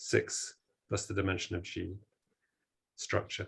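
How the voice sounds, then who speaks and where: A somewhat breathy male voice. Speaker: mathematical physicist. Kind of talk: lecture.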